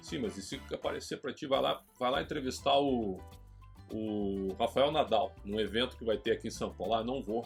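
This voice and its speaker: Over music in the background, a man with a Gaúcho Brazilian accent and a medium pitch talks at a moderate pace with lively intonation. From Porto Alegre, southern Brazil. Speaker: sports journalist. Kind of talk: interview answer.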